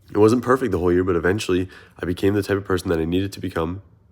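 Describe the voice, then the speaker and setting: A man with an American accent speaks at a very deep, low pitch. The recording is very clean, with a silent background. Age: 20s. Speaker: content creator and runner. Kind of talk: motivational vlog monologue. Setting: sitting on a couch. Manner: casual, animated.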